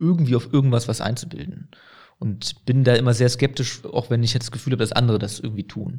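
A somewhat breathy quality runs through this dark, mellow tone. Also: man. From Aachen, western Germany. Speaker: mayor. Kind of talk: interview.

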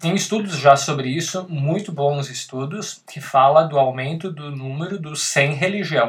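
A man with a fairly high pitch and ordinary pitch variation talks at a fairly slow pace, sounding somewhat breathy, with big swings in loudness. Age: 30s. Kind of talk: casual chat. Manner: halting.

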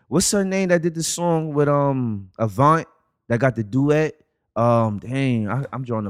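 A man of medium pitch talks with lively intonation in a slight New York accent. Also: very clean recording, silent background. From the Bronx, New York. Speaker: podcast guest. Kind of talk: casual chat.

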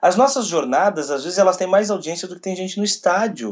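With ordinary pitch variation, a man speaks high at a moderate pace. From Brazil, Rio Grande do Sul. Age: 20s. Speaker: sports radio commentator. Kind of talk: interview.

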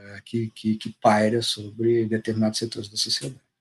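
A man's voice at a medium pitch. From Minas Gerais, Brazil (Juiz de Fora). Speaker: documentary filmmaker. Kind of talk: interview. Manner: halting, many repeated words.

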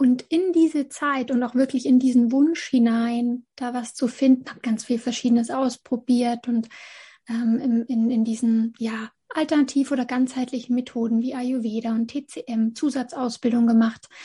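With a dark, mellow tone and high pitch, a woman speaks at a moderate pace with fairly even intonation against a quiet background. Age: 30s. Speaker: essential oils sales consultant. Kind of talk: casual interview.

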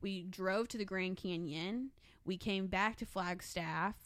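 Speaking at a very slow pace, a woman with a medium-pitched voice keeps her intonation fairly even on a very clean recording with a silent background. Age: 20s. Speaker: host's sister. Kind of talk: casual chat.

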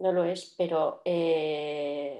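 A woman speaks in a dark, mellow tone. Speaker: podcast co-host, entrepreneur. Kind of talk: casual chat.

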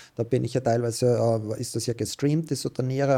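A man with a medium pitch and a dark, mellow tone talks at a fairly quick pace in a monotone, flat intonation. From Austria, Styria. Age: 30s. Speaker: professional poker player. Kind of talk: casual interview.

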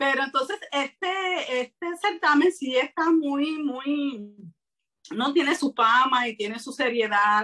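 Raising and projecting her voice, a woman speaks at a very slow pace with a high pitch. Her tone is bright and sharp, her intonation lively. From Puerto Rico. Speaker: writer and self-publisher. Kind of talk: interview. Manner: hesitant with frequent fillers.

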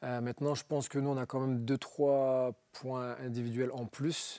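At a fairly slow pace, a man speaks in an ordinary speaking voice, medium in pitch with fairly even intonation. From northern France, Roubaix. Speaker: former pro footballer. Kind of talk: TV interview. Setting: TV studio.

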